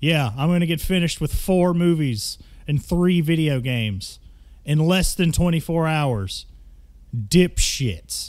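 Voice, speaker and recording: A high-pitched man in a Southern US accent speaks with very wide pitch swings. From Mississippi. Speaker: podcast host. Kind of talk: call-in show banter. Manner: animated.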